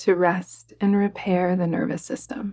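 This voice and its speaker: Fairly low in pitch and fairly even in intonation, this woman has a plain, everyday voice. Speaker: yoga nidra guide. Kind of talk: guided meditation. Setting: soft background music with bells. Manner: calm, soft-spoken, slow.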